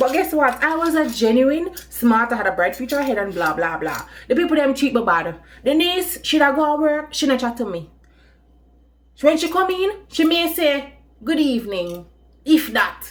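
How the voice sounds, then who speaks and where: This woman's high voice swings very widely in pitch as she speaks at a moderate pace. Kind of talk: storytime, casual talk to camera.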